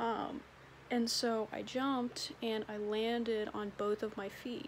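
A woman speaks at a very slow pace in a tired tone. There is light background noise. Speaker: vlogger. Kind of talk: casual vlog chat. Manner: tired, drowsy, low-energy voice. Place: home room. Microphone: phone near.

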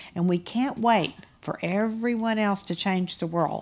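A woman speaks with a Texan accent. Her pace is moderate. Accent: Texan Southern US. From Texas. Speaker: business founder. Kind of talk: panel discussion. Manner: candid. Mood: motivational, warm. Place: stage. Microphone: headset.

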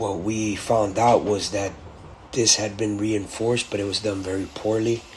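This man's voice sits fairly low and keeps a fairly even intonation at a fairly slow pace. Background noise is noticeable. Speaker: car channel host. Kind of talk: video tutorial. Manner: casual, filler words.

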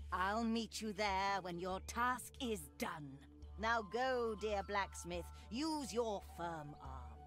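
Clear music plays in the background. A put-on character voice speaks at a very slow pace. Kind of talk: rhyming fairy-tale speech. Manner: sly, motherly.

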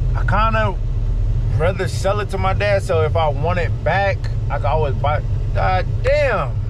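Noticeable background noise sits behind a man speaking at a moderate pace, the sound dry with no echo. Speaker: car vlogger. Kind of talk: casual vlog chat. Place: car. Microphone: camera far.

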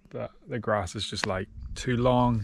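A quiet background and a dry sound with no echo. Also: man. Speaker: bikepacking vlogger. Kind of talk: casual vlog chat. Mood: relaxed, content. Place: open country. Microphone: phone near.

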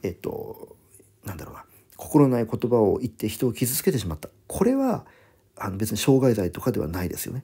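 A man's dark, mellow, somewhat breathy voice at a medium pitch and fairly quick pace, with very wide pitch swings and big swings in loudness. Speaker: English vocabulary teacher. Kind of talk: lecture. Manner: fast, run-on explanation.

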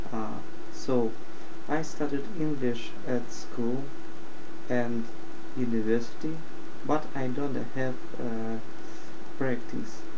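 Speaking at a very slow pace with long, frequent pauses, a man keeps his intonation fairly even. Noticeable background noise sits behind him. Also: medium pitch for a man. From Russia. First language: Russian. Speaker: IT support worker. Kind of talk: casual talk to camera. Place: home room. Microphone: webcam.

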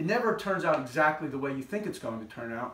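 The speech moves at a very fast pace. Audible room echo is present. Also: man. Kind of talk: casual vlog chat. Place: workshop.

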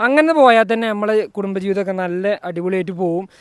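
Ordinary pitch variation from a man speaking high in his range. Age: 20s. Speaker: vlogger. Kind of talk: casual vlog talk. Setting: at a wedding event.

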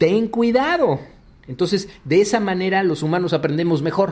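The man's voice sits at a high pitch with ordinary pitch variation. He keeps a moderate pace. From Mexico City. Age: 50s. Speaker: cybersecurity executive. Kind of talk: radio interview. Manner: halting, many fillers.

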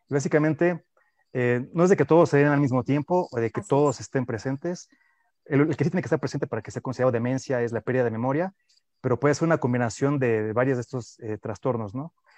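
Talking at a very fast pace with ordinary pitch variation, a man is heard in a dry sound with no echo against a quiet background. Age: young. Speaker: neuroscience researcher; guest. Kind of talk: radio interview. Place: home room. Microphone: earbuds.

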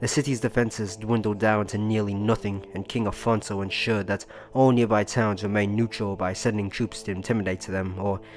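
Over music in the background, a man with a fairly low voice talks at a fairly quick pace, his intonation fairly even. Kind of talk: history sleep story narration. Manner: soft-spoken.

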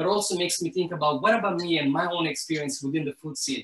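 A man talks, and audible room echo hangs around his words. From Italy, Lazio near Rome. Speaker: chef and food educator; guest. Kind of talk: cooking demonstration and conversation. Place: kitchen.

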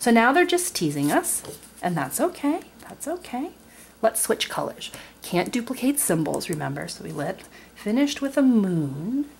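A woman at a moderate pace with very wide pitch swings and a warm tone, over light background noise. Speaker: board game video creator. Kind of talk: tutorial. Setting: at home, tabletop. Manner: warm, friendly. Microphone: camera far.

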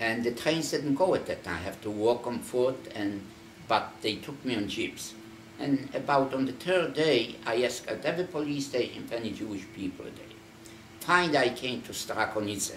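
Lively in intonation, a man speaks at a moderate pace amid light background noise and audible room echo. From Poland. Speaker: Holocaust survivor. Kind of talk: oral history interview; interview answer. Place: home room. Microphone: camera far.

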